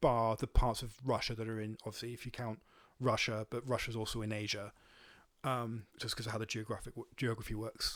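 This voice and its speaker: A man talks at a fairly quick pace in a Welsh accent. His intonation is flat and monotone. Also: medium pitch for a man. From Wales. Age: 30s. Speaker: volunteer counter-propaganda activist. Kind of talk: podcast interview. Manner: halting, many fillers.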